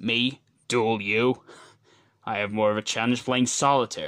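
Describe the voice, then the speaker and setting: In a very clean recording with a silent background, a man uses a cartoonish character voice at a medium pitch. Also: moderate pace. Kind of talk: cartoon character voice impressions. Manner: cold, contemptuous.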